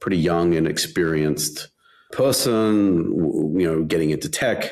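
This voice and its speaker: A man with a very deep, low pitch talks at a fairly slow pace, his intonation lively and his loudness very even. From Australia, Western Sydney. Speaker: tech founder. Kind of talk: interview. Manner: halting, many repetitions.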